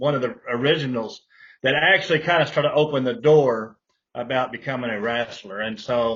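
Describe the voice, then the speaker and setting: Fairly quick and fairly high-pitched, a man speaks with a Texan accent. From Texas, Fort Worth. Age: 60s. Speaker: pro wrestler and wrestling promoter. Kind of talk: interview.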